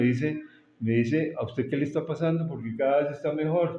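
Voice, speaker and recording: With audible room echo, the man's speech holds a moderate pace and ordinary pitch variation. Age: 70s. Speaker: architect and property appraiser. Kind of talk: interview. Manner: halting, with many repetitions and fillers.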